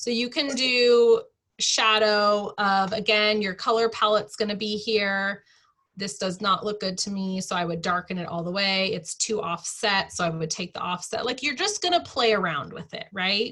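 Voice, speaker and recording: Her medium-pitched voice has a bright, sharp tone and ordinary pitch variation at a moderate pace. The recording is very clean, with a silent background. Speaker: online team leader teaching design tool. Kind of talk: tutorial.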